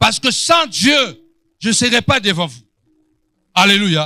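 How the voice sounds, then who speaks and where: A man's raised, projected voice has a bright, sharp tone and very wide pitch swings. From Angola. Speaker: pastor. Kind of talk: sermon. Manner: animated.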